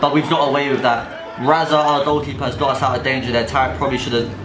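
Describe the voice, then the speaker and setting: A man talks at a very fast pace with a fairly high pitch. Noticeable background noise runs underneath. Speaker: futsal player and YouTuber. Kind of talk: sports commentary over match footage. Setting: indoor futsal pitch with team. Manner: animated, fast, excited play-by-play.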